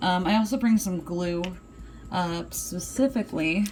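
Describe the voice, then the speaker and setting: Fairly slow delivery from a woman at medium pitch. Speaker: vlogger. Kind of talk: tutorial. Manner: casual, many filler words.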